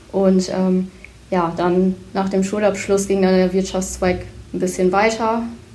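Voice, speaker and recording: At a very slow pace, a woman of medium pitch talks in a monotone, flat intonation with very even loudness, and audible room echo is present. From Leer, East Frisia, northern Germany. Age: 19. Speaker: bank trainee. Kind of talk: self-introduction and interview.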